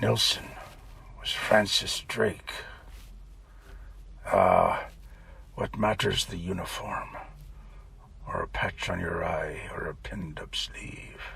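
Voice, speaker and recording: Over clear background noise, a man puts on a gruff, growling character voice, talking at a fairly slow pace with long, frequent pauses. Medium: read story. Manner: gruff, confiding.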